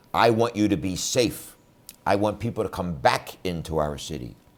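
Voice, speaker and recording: Speaking in a Philadelphia accent with vocal fry, a man uses a very deep, low pitch, lively intonation and a moderate pace. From Philadelphia, Pennsylvania (West Philadelphia). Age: 60s. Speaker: defense attorney and political candidate. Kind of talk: campaign speech to camera. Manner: animated.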